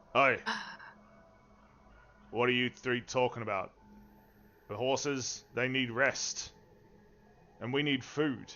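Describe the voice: Using a gruff, put-on character voice at a medium pitch, a man speaks at a fairly slow pace with long, frequent pauses.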